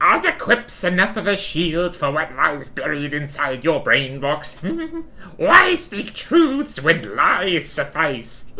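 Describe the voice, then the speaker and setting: A put-on character voice at a middle pitch and a fairly slow pace, with light background noise. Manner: hammy, taunting.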